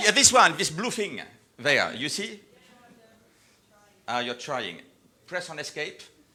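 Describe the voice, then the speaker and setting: Slowish and broken by long, frequent pauses, a man's animated voice with a French accent sits at a fairly high pitch, swinging widely in pitch and loudness over noticeable background noise. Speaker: company executive presenter. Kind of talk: live event presentation.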